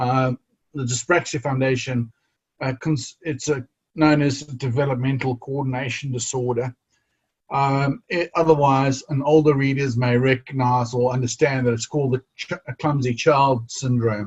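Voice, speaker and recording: Somewhat breathy and flat in intonation, a man talks at a moderate pace and medium pitch, the sound dry and close with no echo. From South Africa, KwaZulu-Natal. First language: Zulu. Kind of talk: interview conversation. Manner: halting, many repetitions and fillers.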